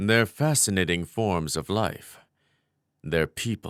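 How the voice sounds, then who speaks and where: In a very clean recording with a silent background, a man puts on a character voice, fairly low in pitch, with lively intonation at a fairly slow pace. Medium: audio drama. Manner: guarded, proud.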